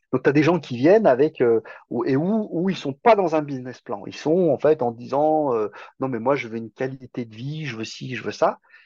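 Dark and mellow in tone, a man speaks at a fairly high pitch with big swings in loudness. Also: moderate pace, dry, close sound with no echo, quiet background. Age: 50s. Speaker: self-sufficiency farmer. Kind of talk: podcast interview. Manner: hesitant, repeats words.

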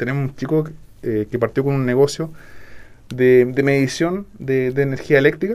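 A man speaks at a moderate pace, his medium pitch moving with ordinary variation. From southern Chile, Puerto Varas. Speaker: regional business development director. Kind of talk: radio interview.

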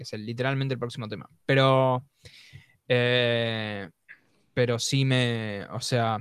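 A man with a Rioplatense accent speaks at a medium pitch in a monotone, flat intonation. His very slow delivery has long, frequent pauses and big swings in loudness. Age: 20s. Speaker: podcast co-host. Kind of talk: casual chat.

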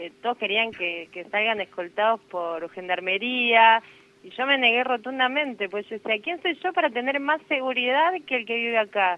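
A woman with a normal speaking voice uses lively intonation at a fairly high pitch. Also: moderate pace. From Buenos Aires, Argentina. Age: 30s. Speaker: nurse. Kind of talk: interview.

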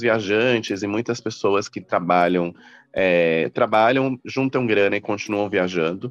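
With a plain, everyday voice, a man speaks at a fairly low pitch and a moderate pace, with ordinary pitch variation, in a dry, close sound with no echo. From Mato Grosso do Sul, Brazil (Campo Grande). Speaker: journalist and travel entrepreneur. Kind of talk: interview.

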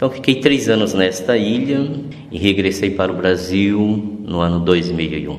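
Over noticeable background noise and audible room echo, a man with a very deep, low voice speaks at a fairly slow pace with ordinary pitch variation. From Mato Grosso do Sul, Brazil. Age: 50s. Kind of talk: interview testimony.

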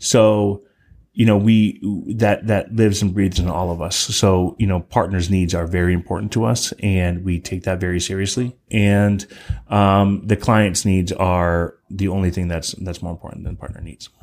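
A man speaks in a very deep, low pitch at a moderate pace. His intonation stays fairly even. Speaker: partner success manager at a software company. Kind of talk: casual interview. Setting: office.

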